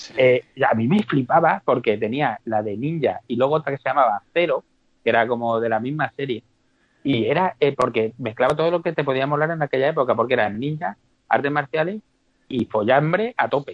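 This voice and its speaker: This man has a plain, everyday voice, pitched fairly high, and he talks at a fairly quick pace with lively intonation. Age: 40s. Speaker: podcast guest, film fan. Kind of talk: casual chat.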